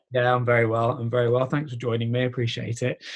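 This man's voice sits at a medium pitch. It has a somewhat breathy quality. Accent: British. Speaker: podcast host. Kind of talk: interview.

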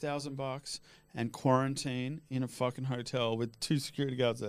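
With an Australian accent, a man talks at a fairly high pitch. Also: very clean recording, silent background. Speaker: cannabis activist. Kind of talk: casual chat.

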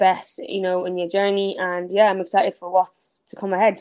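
Against a quiet background, a woman talks at a fairly quick pace with an Irish accent. Her intonation is monotone and flat. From Ireland (Dublin, Clondalkin), born in Nigeria. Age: 20s. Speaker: entrepreneur and blogger. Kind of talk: casual interview.

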